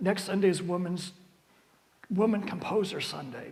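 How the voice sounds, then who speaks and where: A man talks at a moderate pace with a high pitch. Room echo is audible. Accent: American. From US, West Virginia northern panhandle (near Pittsburgh). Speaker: church music director and organist. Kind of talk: adult education talk with Q&A. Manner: halting, many fillers and restarts.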